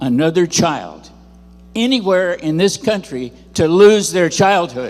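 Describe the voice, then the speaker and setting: Noticeable background noise behind a man's high voice and lively intonation. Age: 80s+. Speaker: speaker sharing personal testimony. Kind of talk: testimony. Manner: animated.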